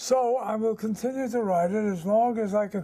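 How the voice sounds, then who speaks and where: This man's voice sits high in pitch yet has a dark, mellow tone, and his intonation stays fairly even. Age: 80s+. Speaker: newspaper columnist. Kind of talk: interview. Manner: halting.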